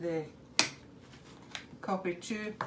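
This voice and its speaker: Over noticeable background noise, a woman talks with a Scottish accent. Her medium-pitched voice is monotone and flat. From Scotland, Edinburgh. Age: 70s. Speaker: home cook demonstrating a recipe. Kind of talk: cooking demonstration.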